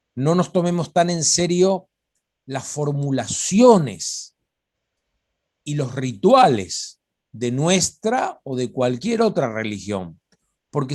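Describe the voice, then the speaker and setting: A man's fairly high, somewhat breathy voice with very wide pitch swings, a very slow pace and long, frequent pauses. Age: 60s. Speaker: religious studies lecturer. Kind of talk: informal talk on biblical topics.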